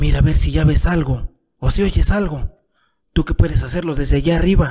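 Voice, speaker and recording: At a moderate pace, a man talks in a weary tone. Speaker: storyteller narrator. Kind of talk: dramatic reading aloud of a literary short story, voicing both father and son. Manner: weary, pleading tone as the exhausted father begs for signs of the town; bitter, reproachful storytelling as the father recalls the son's birth.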